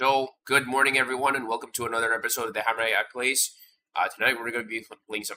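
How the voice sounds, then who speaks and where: In a put-on character voice, a man speaks raspy and very fast at a medium pitch with monotone, flat intonation. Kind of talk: casual streamer intro.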